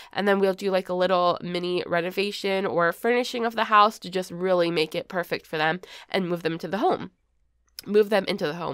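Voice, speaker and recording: A raspy, put-on character voice moves at a fairly quick pace with fairly even intonation. The recording is very clean, with a silent background. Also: woman, medium pitch for a woman. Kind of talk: casual, pitching an idea. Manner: very fast, words blurring together.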